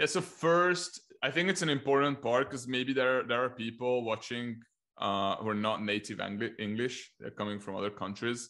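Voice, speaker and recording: Over a quiet background, a man with a Hungarian accent speaks in a bright, sharp tone. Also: medium pitch for a man, ordinary pitch variation, moderate pace. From Hungary. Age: 20s. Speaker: Facebook ads business coach. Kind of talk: casual interview conversation.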